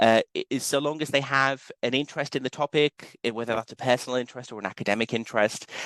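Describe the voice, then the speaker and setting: Against a quiet background, a man with a Liverpool accent talks at a very fast pace in a fairly high pitch, the sound dry and close with no echo. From northern England, Liverpool. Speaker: university lecturer. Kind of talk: conference presentation.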